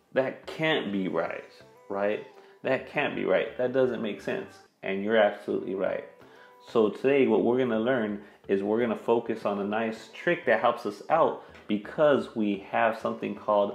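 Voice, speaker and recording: Male speaker at a moderate pace, audible room echo and faint music in the background. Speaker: math teacher. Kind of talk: tutorial. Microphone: lapel.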